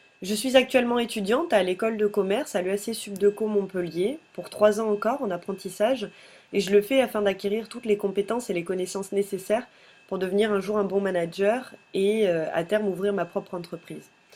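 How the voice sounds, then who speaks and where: A woman at medium pitch and a fairly quick pace, ordinary pitch variation, noticeable background noise. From Madagascar (Toamasina). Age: 20s. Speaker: pageant candidate, business student. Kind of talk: candidate self-presentation video. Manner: hesitant, frequent filler sounds.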